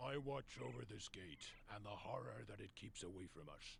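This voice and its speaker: Over clear background noise, a man does a put-on character voice at a fairly low pitch. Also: moderate pace. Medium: video game. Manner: solemn, foreboding.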